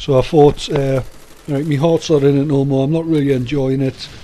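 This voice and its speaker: A man with a Geordie accent, flat monotone delivery at a moderate pace, noticeable background noise. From northern England, Newcastle. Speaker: army veteran and gaming commentator. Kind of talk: casual video commentary. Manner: hesitant, many fillers.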